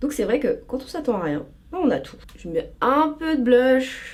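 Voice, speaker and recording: A woman speaks over noticeable background noise. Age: 20s. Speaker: lifestyle and beauty youtuber. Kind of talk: casual vlog chat while doing makeup.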